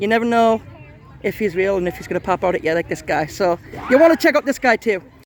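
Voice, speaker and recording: A man with very wide pitch swings and an animated tone, crowd noise in the background. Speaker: vlogger. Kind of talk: walkthrough vlog commentary. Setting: outdoors and inside haunted attraction.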